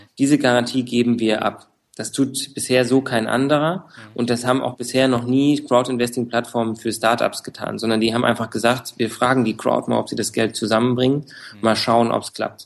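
Monotone and flat, a man speaks at a fairly quick pace. His pitch is medium. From Frankfurt, Germany. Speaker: startup founder in real estate. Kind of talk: interview. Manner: hesitant, many fillers.

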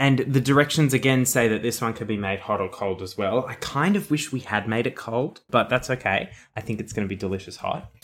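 A man with an Australian accent talks at a fairly quick pace with hardly any pauses. His voice is medium in pitch with ordinary variation. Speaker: podcast co-host. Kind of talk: casual chat.

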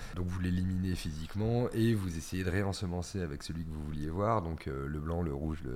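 In a room with audible echo, a man with a very deep, low voice and a dark, mellow tone talks at a moderate pace with ordinary pitch variation. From Paris region, France. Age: 30s. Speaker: cheesemonger. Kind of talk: casual interview.

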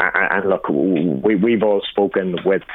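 This man has a very deep, low voice. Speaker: politician. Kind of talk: radio interview. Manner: earnest, worried.

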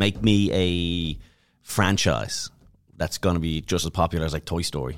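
A man's very deep, low voice with vocal fry, in an Irish accent, at a moderate pace, on a very clean recording with a silent background. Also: ordinary pitch variation. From Ireland, Dublin. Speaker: comedian. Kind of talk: casual chat. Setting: studio.

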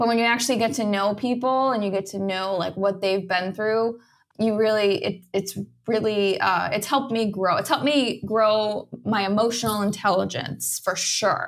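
At a medium pitch and moderate pace, a woman talks in an unremarkable speaking voice with fairly even intonation, in a very clean recording with a silent background. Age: 30s. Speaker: dietitian. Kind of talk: interview.

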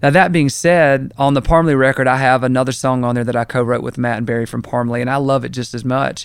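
Talking at a very fast pace with hardly any pauses, a man with a Southern US accent speaks at medium pitch. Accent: Southern US (Georgia). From US South, Augusta, Georgia. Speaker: country songwriter and producer. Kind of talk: interview, casual chat. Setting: studio. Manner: casual, animated.

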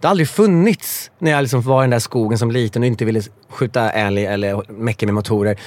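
A man talking at a fairly quick pace. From Värmland, Sweden. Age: 40s. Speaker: author. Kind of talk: casual chat. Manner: halting.

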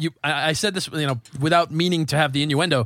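On a very clean recording with a silent background, a man talks at a fairly high pitch with fairly even intonation. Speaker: metal band member and podcast host. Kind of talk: casual banter. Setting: studio.

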